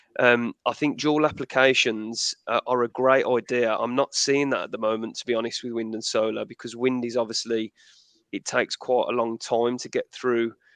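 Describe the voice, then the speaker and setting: A man with a Midlands accent, medium pitch, moderate pace and monotone, flat intonation, with a dry, close sound, no echo and a quiet background. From English Midlands, Birmingham. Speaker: energy expert. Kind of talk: webinar panel discussion.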